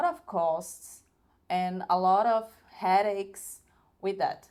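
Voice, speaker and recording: A woman with a medium pitch speaks at a very slow pace in a very clean recording with a silent background. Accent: Brazilian Portuguese. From northern Brazil. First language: Portuguese. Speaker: video creator. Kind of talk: product review. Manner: halting.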